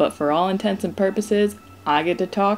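A woman's voice at a moderate pace with ordinary pitch variation and music in the background. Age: 20s. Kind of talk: personal video diary monologue, read aloud.

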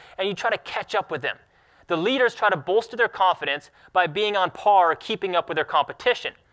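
Against a quiet background, a man with a high pitch talks at a very fast pace in a raised, projected voice with a bright, sharp tone. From Alaska. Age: 20s. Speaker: sled dog racer; speaker. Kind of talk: talk to an audience. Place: hall.

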